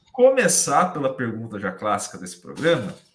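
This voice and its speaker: There is vocal fry in this man's voice. He talks at a moderate pace. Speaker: podcast host. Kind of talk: casual chat. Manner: talkative.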